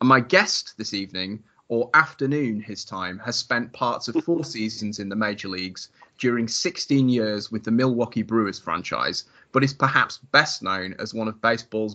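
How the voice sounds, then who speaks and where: With a British accent, a man speaks at medium pitch and a moderate pace, his pitch varying ordinarily while his loudness swings widely. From northern England. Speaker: podcast host. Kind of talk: interview. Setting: at home, remote call.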